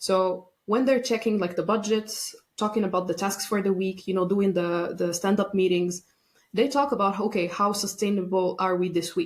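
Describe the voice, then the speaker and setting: A woman with an unremarkable speaking voice talks at a moderate pace and medium pitch. Her intonation is fairly even and her loudness very even. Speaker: burnout and workplace wellbeing expert. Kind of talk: podcast interview.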